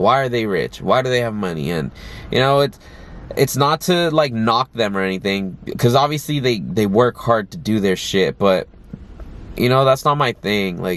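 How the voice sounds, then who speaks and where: Moderate-paced speech from a man at medium pitch with lively intonation, amid noticeable background noise. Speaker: vlogger and aspiring actor. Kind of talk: casual talking-head vlog. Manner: filler-heavy, lots of like and you know.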